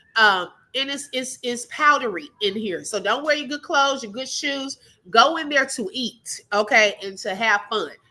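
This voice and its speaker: Her voice is high-pitched, bright and sharp, with a Texas accent. This woman speaks at a moderate pace in an animated tone with lively intonation. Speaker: livestream commentary host. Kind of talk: casual live chat. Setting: live stream.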